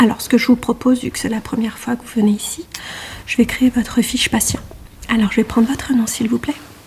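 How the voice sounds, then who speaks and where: A woman talks at a very fast pace in a monotone, flat intonation. There is noticeable background noise. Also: fairly high pitch for a woman. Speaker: ASMR creator playing an ENT doctor. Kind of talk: ASMR medical roleplay. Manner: soft-spoken.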